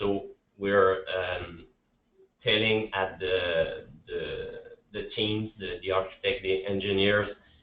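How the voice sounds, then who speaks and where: With a Quebec accent, a man speaks at a very slow pace amid audible room echo. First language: French. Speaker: public infrastructure BIM specialist. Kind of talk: conference presentation. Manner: halting, many repetitions and fillers.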